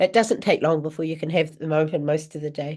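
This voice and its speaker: The pace is fairly quick. Intonation stays fairly even against a quiet background. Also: woman. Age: 60s. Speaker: spiritual teacher and reader. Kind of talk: live online Q&A. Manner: halting, with many false starts.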